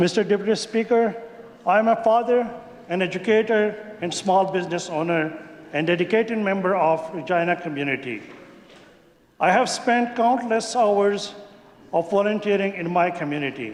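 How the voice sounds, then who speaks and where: Speaking with a Pakistani accent at a moderate pace, a man with a high pitch and ordinary pitch variation leaves long, frequent pauses, with audible room echo and noticeable background noise. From Pakistan, Khyber Pakhtunkhwa. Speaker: legislator. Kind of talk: maiden speech in legislature. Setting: legislative chamber. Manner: formal.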